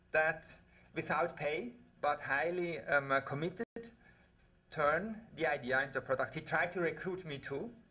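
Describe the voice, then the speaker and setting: Bright and sharp in tone, a man with a Swiss accent speaks at a moderate pace and a fairly high pitch, using ordinary pitch variation and long, frequent pauses. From Switzerland. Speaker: researcher. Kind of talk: conference talk.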